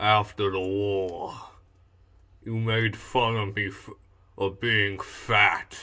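In a very clean recording with a silent background, a man uses a put-on character voice at a very slow pace. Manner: menacing, unhinged.

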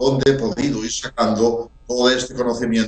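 A man talks with fairly even intonation. Room echo is audible. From Spain, A Coruña (Galicia); Galicia, Spain. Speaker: researcher; interviewee. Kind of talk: interview. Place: home room.

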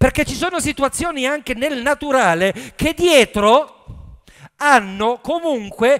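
Speaking slowly, a man with extremely high pitch uses lively intonation and a clear, smooth, fairly bright tone.

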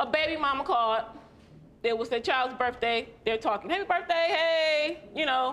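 A woman speaks in a raised, projected voice at a moderate pace. Her pitch swings very widely. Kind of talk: testimony, telling an anecdote. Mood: aggrieved, animated. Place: stage. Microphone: lapel.

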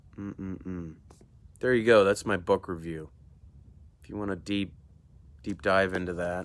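Long, frequent pauses break up a fairly slow delivery with fairly even intonation and big swings in loudness, in dry sound with no echo. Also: man, very deep, low pitch for a man. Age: 40s. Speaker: emergency room doctor and video host; doctor reviewing a book. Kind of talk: solo book review monologue. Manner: casual, hesitant with frequent fillers. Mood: calm, reflective. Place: garden. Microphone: earbuds.

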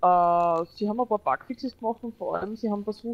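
At a fairly quick pace, a woman with an Austrian accent speaks with ordinary pitch variation. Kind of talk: gaming commentary.

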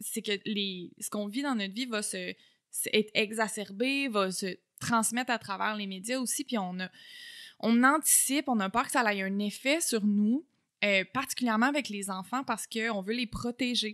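Over a quiet background, a woman with a Quebec accent talks in a fairly high pitch with ordinary pitch variation. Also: moderate pace. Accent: Québécois French. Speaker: communication researcher and lecturer; lecturer. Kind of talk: casual interview. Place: home room. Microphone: studio mic.

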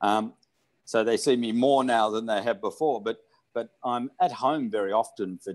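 Against a quiet background, the voice keeps to a moderate pace. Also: man. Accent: Australian. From Australia. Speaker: hot spring spa founder, entrepreneur; interviewee. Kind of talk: oral history interview. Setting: remote video call. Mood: calm, reflective. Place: home room. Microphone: video call.

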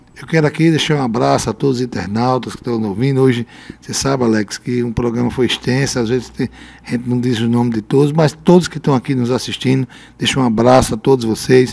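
With fairly even intonation, a man talks very fast. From Brazil, Rio Grande do Norte interior (Lajes Pintadas); Rio Grande do Norte, Brazil. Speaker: mayor. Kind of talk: radio interview. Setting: radio studio. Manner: halting. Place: studio. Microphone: handheld.

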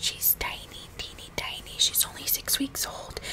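A soft-spoken woman whispers at a fairly slow pace. Noticeable background noise can be heard. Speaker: video creator. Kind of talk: casual chit chat vlog, ASMR-like. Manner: soft close ASMR whisper. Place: home room. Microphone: studio mic.

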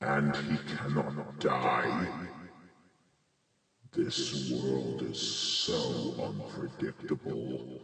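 A man puts on a raspy character voice with a very deep, low pitch, speaking at a very slow pace. Strong echo surrounds his voice. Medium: role play.

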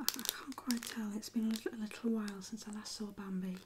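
Someone speaks in a relaxed tone over noticeable background noise. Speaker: ASMR creator. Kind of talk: ASMR soft-spoken show-and-tell. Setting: quiet indoor recording, close to microphone. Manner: soft-spoken, slow, relaxed. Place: home room.

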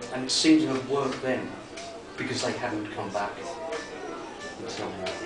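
Over loud background noise, a man talks with audible echo from the room. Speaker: author. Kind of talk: horror story reading. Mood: dark, suspenseful narration. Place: bar. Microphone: camera far.

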